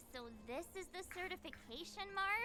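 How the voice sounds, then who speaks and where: A put-on character voice sits at an extremely high pitch and moves at a moderate pace. Background noise is clearly audible. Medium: video game. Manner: lively, blunt.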